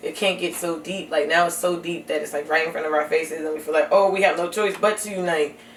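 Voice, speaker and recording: A woman with an American accent talks at a very fast pace, with hardly any pauses and an animated tone. Her pitch is fairly low, and there is noticeable background noise. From New Jersey. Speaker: podcast guest. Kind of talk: casual chat. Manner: fast, animated.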